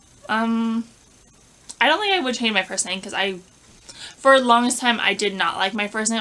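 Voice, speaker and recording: A woman mumbles in an American accent with ordinary pitch variation. Noticeable background noise is present. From Southern California. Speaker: lifestyle vlogger. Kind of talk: casual chat. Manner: mumbling; halting.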